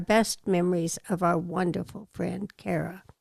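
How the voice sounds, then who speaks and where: A woman's medium-pitched voice with vocal fry and fairly even intonation, in a dry, close sound with no echo. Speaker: advice columnist. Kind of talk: reading aloud.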